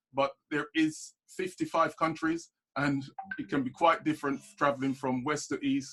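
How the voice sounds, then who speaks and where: A man's voice with fairly even intonation comes through in a dry, close sound with no echo. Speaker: webinar presenter on African investment. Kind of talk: online presentation. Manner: fast.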